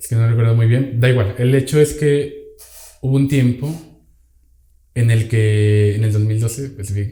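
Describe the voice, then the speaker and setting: At a moderate pace, a man talks with a medium pitch, fairly even intonation, a dark, mellow tone and a somewhat breathy quality. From Venezuela. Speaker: podcast guest. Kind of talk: casual chat.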